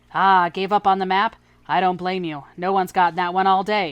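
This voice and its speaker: A put-on character voice, female-sounding, at a medium pitch and a fairly quick pace. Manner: gruff, teasing.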